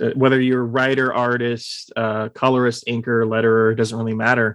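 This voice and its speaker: A man with an American accent speaks at medium pitch and a fairly quick pace, in a normal speaking voice. The sound is dry and close, with no echo. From Texas (Austin). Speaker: podcast host. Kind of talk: casual interview.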